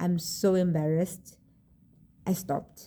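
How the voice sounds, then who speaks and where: A woman speaks in a dark, mellow, somewhat breathy tone with monotone, flat intonation. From South Africa, rural area. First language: South African language other than English. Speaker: vlogger. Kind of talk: casual vlog talk to camera. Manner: hesitant, many fillers and repeats.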